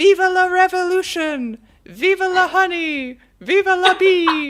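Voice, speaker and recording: A put-on character voice shouts at an extremely high pitch, moving at a fairly slow pace. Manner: screaming defiantly.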